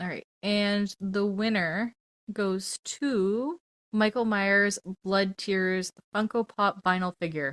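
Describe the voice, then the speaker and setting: A woman at a very slow pace, medium in pitch with ordinary pitch variation, in a dry, close sound with no echo. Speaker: podcast co-host. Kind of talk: casual chat. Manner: animated.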